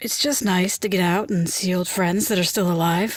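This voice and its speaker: Putting on a raspy character voice at medium pitch, a woman speaks at a moderate pace. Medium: audio drama. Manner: warm, friendly.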